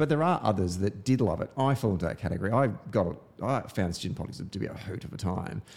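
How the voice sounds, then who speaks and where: With an Australian accent, a man talks at a very fast pace with hardly any pauses, using a fairly low pitch, lively intonation and vocal fry. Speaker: podcast host. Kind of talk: casual chat. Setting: studio.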